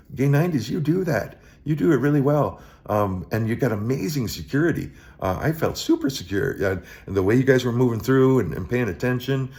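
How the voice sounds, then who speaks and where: At a moderate pace, a man with a medium pitch and vocal fry makes very wide pitch swings. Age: 60s. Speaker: vlogger. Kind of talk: casual monologue. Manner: halting, many repetitions and fillers.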